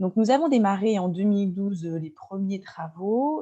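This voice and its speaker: A woman talks at a moderate pace. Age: 40s. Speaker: venue owner and local politician. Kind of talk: webinar presentation. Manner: halting, many filler sounds.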